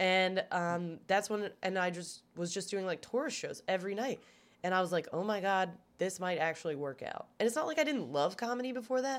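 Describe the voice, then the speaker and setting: A woman with a plain, everyday voice and an American accent, medium in pitch, lively in intonation, and fairly quick, on a very clean recording with a silent background. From Maryland, US (Gaithersburg and Baltimore). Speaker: stand-up comedian. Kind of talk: casual chat. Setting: hotel room.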